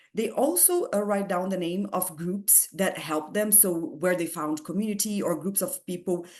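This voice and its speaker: A woman's fairly low voice with a strong non-native accent, at a moderate pace. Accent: heavy foreign. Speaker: physics researcher. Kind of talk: lecture. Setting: video call. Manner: halting.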